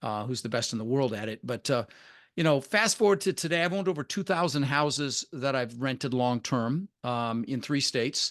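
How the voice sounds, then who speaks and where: A man with an American accent speaks in a normal speaking voice at a medium pitch and a moderate pace. His intonation is lively, and the sound is dry and close with no echo. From Denver, Colorado, US (Dutch-born). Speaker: real estate investor. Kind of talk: podcast interview.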